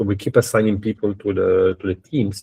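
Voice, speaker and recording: A man speaks in a monotone, flat intonation at a fairly low pitch, somewhat breathy, with a dark, mellow tone. The sound is dry and close, with no echo. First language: Italian. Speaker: university professor. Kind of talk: lecture. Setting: video call. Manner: fast; halting, many fillers and repetitions.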